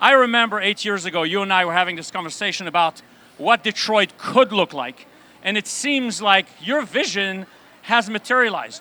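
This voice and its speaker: A man speaks in a raised, projected voice at a moderate pace, high for a man. His pitch varies in an ordinary way. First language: Yiddish. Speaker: rabbi and event host. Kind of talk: live event interview.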